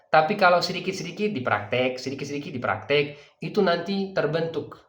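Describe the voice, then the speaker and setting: Lively intonation rings out against audible room echo. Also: man. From Dubai, UAE (grew up there). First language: Persian (speaking Indonesian). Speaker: language teacher. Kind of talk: sales pitch. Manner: filler-laden, hesitant.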